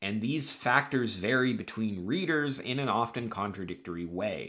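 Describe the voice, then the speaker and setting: An ordinary speaking voice from a man at medium pitch, with lively intonation and a moderate pace. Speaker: writing advice youtuber. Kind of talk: scripted talk to camera.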